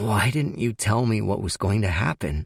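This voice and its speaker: A man puts on a character voice that is raspy and hoarse, pitched fairly low with lively intonation. He keeps a moderate pace and very even loudness. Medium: read story.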